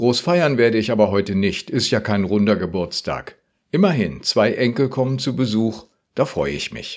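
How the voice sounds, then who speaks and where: At a moderate pace, a man with a plain, everyday voice speaks at a medium pitch with lively intonation. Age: 60s. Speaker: retired pastor. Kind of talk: radio devotional.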